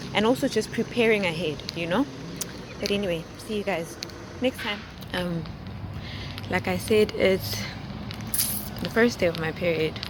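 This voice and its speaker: A woman of medium pitch speaks at a moderate pace with ordinary pitch variation and long, frequent pauses, against noticeable background noise. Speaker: wellness vlogger. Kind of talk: personal vlog. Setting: outdoors on a walk. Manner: soft-spoken.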